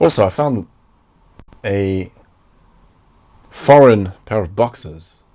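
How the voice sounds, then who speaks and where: A man's voice sits at a fairly low pitch with a dark, mellow tone. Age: 20s. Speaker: podcaster and filmmaker. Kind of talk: solo casual podcast monologue. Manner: matter-of-fact, unenthusiastic.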